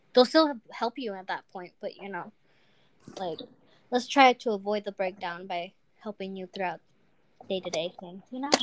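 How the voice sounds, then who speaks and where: A woman at a moderate pace, with long, frequent pauses and big swings in loudness, in a dry, close sound with no echo over noticeable background noise. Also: medium pitch for a woman, ordinary pitch variation. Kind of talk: casual chat. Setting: video call.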